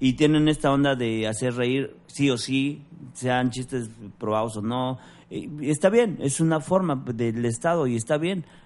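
Speaking at a fairly slow pace, a man talks in a Mexican accent. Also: medium pitch for a man, ordinary pitch variation. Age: 40s. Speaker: stand-up comedian and actor. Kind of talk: casual chat.

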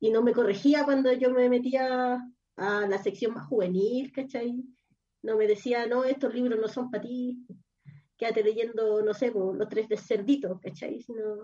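Her dark, mellow tone sits at a fairly high pitch as this woman speaks at a fairly slow pace with fairly even intonation. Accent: Chilean. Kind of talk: casual chat. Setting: at home.

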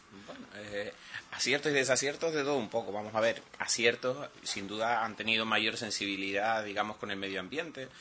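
Against noticeable background noise, a man talks at a fairly quick pace, medium-pitched with ordinary pitch variation. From Canary Islands, Telde (Gran Canaria). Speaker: island councillor, opposition politician. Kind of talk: political talk radio interview.

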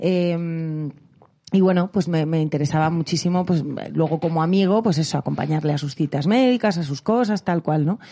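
Her tone dark and mellow, a woman speaks at a fairly low pitch and moderate pace with ordinary pitch variation. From Spain. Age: 30s. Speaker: singer and voice actress. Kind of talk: casual chat.

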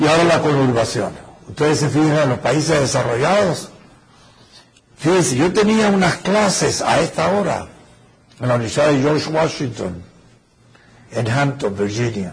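A man speaks at a fairly high pitch and moderate pace, his pitch swinging very widely. His loudness stays very even, with long, frequent pauses and audible room echo. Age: old. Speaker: professor. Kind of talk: lecture.

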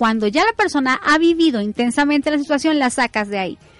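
At a very fast pace, a woman speaks with a dry, close sound and no echo. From Colombia, Bogotá (family from Ibagué, Tolima). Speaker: business coach. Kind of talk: interview.

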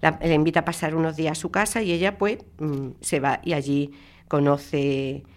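The recording is very clean, with a silent background. A woman with a very deep, low pitch speaks at a moderate pace with ordinary pitch variation. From Spain, Andalusia (Málaga). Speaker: radio book presenter. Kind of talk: book review talk. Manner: halting.

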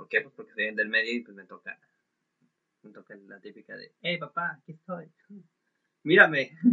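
The speaker is a man with a Mexican accent. His intonation is lively. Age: 20s. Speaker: podcaster. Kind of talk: casual monologue. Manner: halting.

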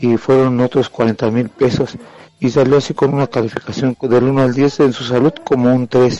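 At a fairly slow pace, a man with an ordinary speaking voice and medium pitch talks in a dry, close sound with no echo. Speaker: caller. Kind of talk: update on a relative's health.

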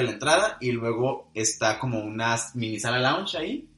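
Speaking at a moderate pace, a man has an unremarkable speaking voice with a medium pitch and ordinary pitch variation. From Monterrey, northern Mexico. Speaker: podcast co-host. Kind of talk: casual chat.

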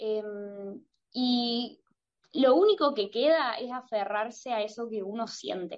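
Speech unfolds very slowly. Pauses come often and last long. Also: woman, fairly high pitch for a woman, ordinary pitch variation. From Argentina. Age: 20s. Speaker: singer-songwriter. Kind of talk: interview. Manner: halting, many repeated words and fillers.

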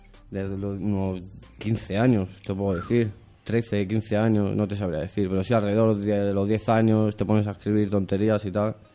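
Over music in the background, a man with a fairly low pitch talks at a moderate pace in a monotone, flat intonation. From Madrid, Spain (Vallecas). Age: 20s. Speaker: rap radio show host. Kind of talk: casual interview chat.

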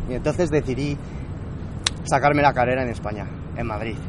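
Noticeable background noise mixed with audible room echo. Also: man. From southern France, Toulouse. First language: French (speaking Spanish). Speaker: pharmacist and entrepreneur. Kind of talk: interview. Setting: rooftop.

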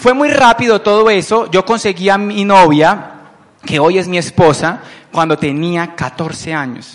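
Over noticeable background noise, a man with a high pitch talks at a fairly slow pace in an animated tone with lively intonation. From Colombia, Palmira (Valle del Cauca). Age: 30s. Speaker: business owner presenting to recruits. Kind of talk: motivational business presentation. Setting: event with live audience.

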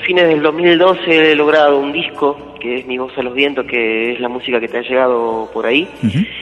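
Speech at a fairly slow pace with ordinary pitch variation comes through noticeable background noise. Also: man. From Argentina, Jujuy. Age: 30s. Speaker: folk singer. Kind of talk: interview.

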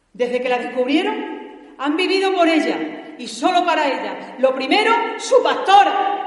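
A woman speaks in a solemn tone with an extremely high pitch and an Andalusian accent, her intonation lively. She talks at a fairly slow pace with hardly any pauses over noticeable background noise. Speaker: pregonera giving the festival address. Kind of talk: pregón, formal devotional oration with verse, in church. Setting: church with audience. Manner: solemn, emotional, rhetorical and impassioned.

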